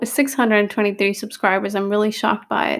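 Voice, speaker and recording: Here is a woman with a normal speaking voice, pitched fairly high, and her intonation stays fairly even. The recording is very clean, with a silent background. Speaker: nursing exam review tutor. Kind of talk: tutorial. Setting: recorded video with edited pauses.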